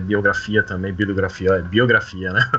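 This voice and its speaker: With noticeable background noise around him, a man talks with ordinary pitch variation. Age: 30s. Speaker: Star Wars fan club organizer. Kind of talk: casual chat.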